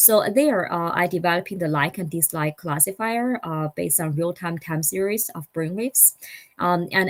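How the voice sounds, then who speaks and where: A woman speaks with a non-native accent in a fairly low voice. Her pitch varies in an ordinary way. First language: not English. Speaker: startup founder and engineer. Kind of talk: conference talk. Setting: online summit. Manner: halting.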